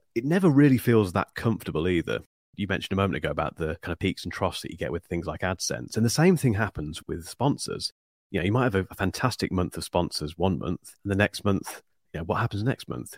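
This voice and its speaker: In a Northamptonshire accent, a man with fairly low pitch and lively intonation talks at a very fast pace, captured dry and close with no echo on a very clean recording with a silent background. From England, Northampton. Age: 40s. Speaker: YouTube tech reviewer. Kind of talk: interview.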